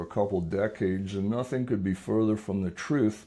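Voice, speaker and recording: A man with an American accent has a fairly low pitch and a dark, mellow tone. He uses ordinary pitch variation over a quiet background. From US Northeast, southern Lancaster County, Pennsylvania. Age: 70s. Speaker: retired teacher and real estate investor. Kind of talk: casual interview chat.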